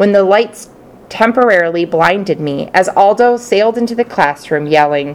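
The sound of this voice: The reading voice is unforced. Lively intonation colors it.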